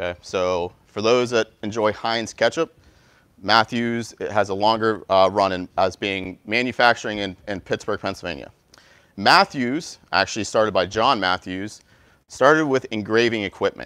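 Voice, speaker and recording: Over a quiet background, a man with a bright, sharp tone and fairly low pitch speaks at a moderate pace with ordinary pitch variation. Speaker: company representative giving presentation; presenter. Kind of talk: interactive presentation to university class. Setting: university classroom with live audience. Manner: energetic. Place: classroom.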